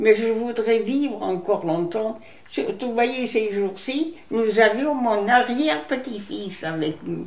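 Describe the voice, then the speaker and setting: A woman with a fairly high pitch speaks at a very slow pace, her intonation lively. The room echo is audible and there is noticeable background noise. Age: 80s+. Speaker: elderly care recipient. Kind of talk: testimony.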